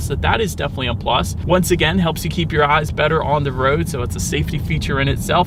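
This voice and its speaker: A man rattles along at a very fast pace amid noticeable background noise and audible room echo. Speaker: car reviewer. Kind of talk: car review while driving. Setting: in a car. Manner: loud.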